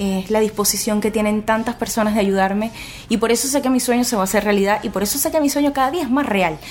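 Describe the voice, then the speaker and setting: Talking at a very fast pace, a woman with a Venezuelan accent uses a fairly high pitch and ordinary pitch variation. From Venezuela, Puerto Ordaz (Guayana region). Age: 20s. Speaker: blogger and single mother. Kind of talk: radio interview.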